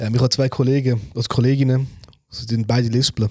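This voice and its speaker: A man at a medium pitch, somewhat breathy, with fairly even intonation. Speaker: podcast co-host. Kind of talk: casual chat.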